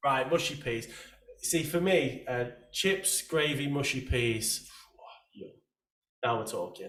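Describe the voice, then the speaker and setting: A man with an English accent at a fairly slow pace, ordinary pitch variation, and audible room echo. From England. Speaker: podcast host. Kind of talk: casual interview chat.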